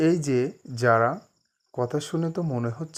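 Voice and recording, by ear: Over a quiet background, the speaker is reading aloud in a natural voice, with ordinary pitch variation.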